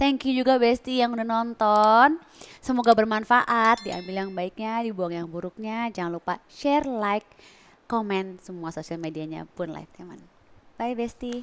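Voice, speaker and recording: A woman talks at a moderate pace with fairly high pitch and ordinary pitch variation. Her loudness swings widely. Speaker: talk show host. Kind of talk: interview. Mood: warm, grateful farewell. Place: studio. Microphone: headset.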